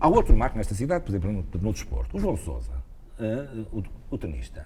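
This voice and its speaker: Noticeable background noise and audible room echo accompany a man whose pitch swings very widely. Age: 60s. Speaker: retired cardiologist and former basketball player. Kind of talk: interview. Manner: hesitant, repeats words.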